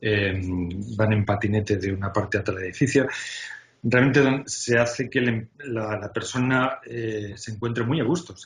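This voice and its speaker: Amid noticeable background noise, a man speaks at a moderate pace in a medium pitch with fairly even intonation and big swings in loudness. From Spain. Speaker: UX design executive. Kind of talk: interview. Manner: hesitant, many filler sounds.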